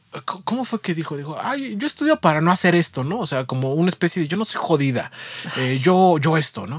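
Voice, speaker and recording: A man with a high pitch talks fairly quickly and with lively intonation over noticeable background noise. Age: 30s. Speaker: podcast co-host. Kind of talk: casual chat.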